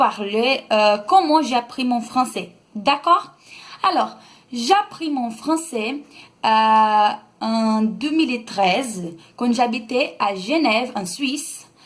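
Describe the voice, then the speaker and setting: On a very clean recording with a silent background, a woman with a high pitch speaks at a very slow pace with lively intonation. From Brazil. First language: Brazilian Portuguese (speaking French). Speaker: vlogger. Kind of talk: casual vlog talk. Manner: halting, many hesitations.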